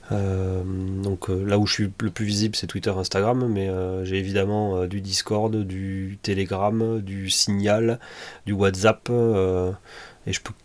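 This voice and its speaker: This man talks very slowly at a fairly low pitch, his intonation monotone and flat. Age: 30s. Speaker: tech podcaster. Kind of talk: casual solo monologue. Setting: home office. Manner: hesitant with frequent fillers.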